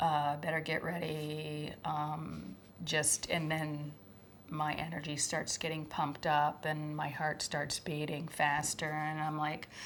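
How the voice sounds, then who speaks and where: Soft-spoken and very deep in pitch, a woman talks at a very slow pace with monotone, flat intonation. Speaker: former schoolteacher. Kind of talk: testimony.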